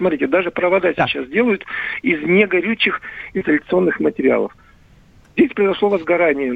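Over noticeable background noise, a man with a fairly high pitch speaks at a fairly quick pace with lively intonation. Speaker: electrical expert. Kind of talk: expert interview. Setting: phone call. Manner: halting.

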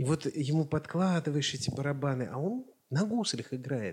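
A man's fairly high, somewhat breathy voice with lively intonation and a moderate pace. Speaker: podcast co-host. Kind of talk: casual chat.

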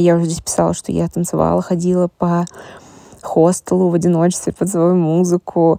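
Dark and mellow, a woman's fairly low voice moves at a moderate pace. The recording is dry and close, with no echo. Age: 20s. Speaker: marketing specialist. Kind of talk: personal voice diary.

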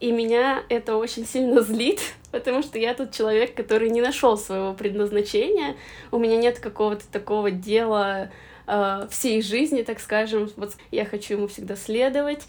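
A woman talks in an ordinary speaking voice at a moderate pace, fairly high in pitch with ordinary pitch variation. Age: 20s. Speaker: podcast host. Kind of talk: casual chat.

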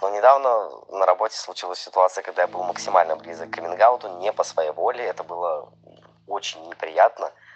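A man with a very deep, low pitch speaks at a fairly quick pace. His loudness swings a lot, while his pitch varies in an ordinary way. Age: 20s. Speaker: listener sharing a story, restaurant waiter. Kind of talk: recorded personal story.

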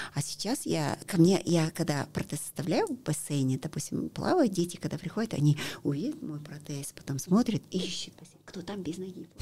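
A woman with a fairly low pitch and a dark, mellow, somewhat breathy tone talks at a moderate pace with ordinary pitch variation. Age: 50s. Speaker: para-athlete. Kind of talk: interview. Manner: halting.

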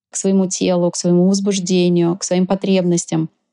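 A woman's medium-pitched voice with a dark, mellow tone and fairly even intonation, in a dry, close sound with no echo. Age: 40s. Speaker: sexologist and tantric massage practitioner. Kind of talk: interview.

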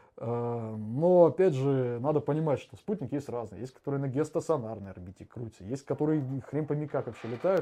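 Over a quiet background, a man with a fairly high pitch and a dark, mellow tone talks at a fairly quick pace with lively intonation, big swings in loudness and hardly any pauses. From Saint Petersburg, Russia. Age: 20s. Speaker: war veteran. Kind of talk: casual chat. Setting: live stream.

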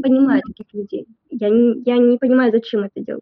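Her voice is high-pitched, with ordinary pitch variation. The woman speaks at a moderate pace. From Sverdlovsk region, Russia. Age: 20s. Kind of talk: interview. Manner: halting.

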